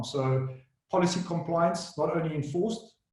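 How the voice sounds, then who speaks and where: There is audible room echo on this man's voice. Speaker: solution and technical architect. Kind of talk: webinar presentation. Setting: online webinar. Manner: fast.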